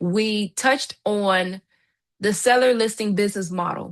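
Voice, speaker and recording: A woman talks at a fairly slow pace at medium pitch, with fairly even intonation. It is an ordinary speaking voice, set against a quiet background. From Miami, Florida. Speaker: real estate trainer. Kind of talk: live online training.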